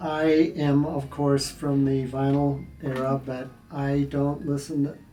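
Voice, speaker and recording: Over music in the background, a man with an American accent speaks at a very slow pace, his fairly high pitch held in a monotone, flat intonation. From Nebraska, USA. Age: 70s. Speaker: musician and composition professor. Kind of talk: interview answer.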